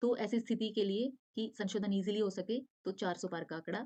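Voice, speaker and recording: Recorded dry and close with no echo, a woman speaks at a medium pitch in a dark, mellow tone. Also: quiet background. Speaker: online exam-prep teacher. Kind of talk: lecture.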